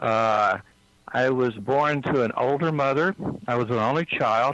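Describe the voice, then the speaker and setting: Using an unremarkable speaking voice, a man with an American accent talks at a fairly slow pace, medium in pitch with ordinary variation and very even loudness. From US South, East Texas. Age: 60s. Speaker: psychic healer. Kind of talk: interview. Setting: phone call. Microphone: cell phone line.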